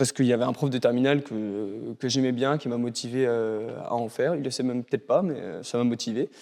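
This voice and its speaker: Moving at a fairly quick pace with hardly any pauses, a man at medium pitch speaks in a dark, mellow tone with fairly even intonation. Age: 20s. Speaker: PhD student and chemical engineer. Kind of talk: interview. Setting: school library. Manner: hesitant, many filler sounds.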